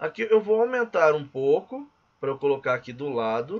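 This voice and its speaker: An unremarkable speaking voice with lively intonation at a moderate pace. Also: man. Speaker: physical education teacher and course instructor. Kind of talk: tutorial.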